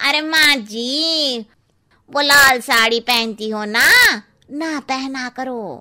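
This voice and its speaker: A woman does a cartoonish character voice in a high pitch. She speaks at a very slow pace. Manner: blunt, chatty.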